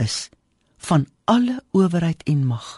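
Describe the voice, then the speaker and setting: A somewhat breathy woman's voice with a dark, mellow tone and very wide pitch swings, in a dry, close sound with no echo. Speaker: devotional speaker. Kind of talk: radio devotional.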